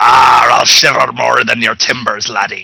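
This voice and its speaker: A man puts on a character voice and keeps a medium tempo. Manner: jokey, swashbuckling.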